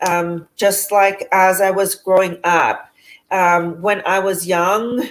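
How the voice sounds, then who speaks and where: A woman with a Spanish accent speaks at a medium pitch in a monotone, flat intonation. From San Francisco, US West Coast, Salvadoran family. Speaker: spiritual speaker. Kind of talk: interview testimony. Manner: halting, many 'um' fillers.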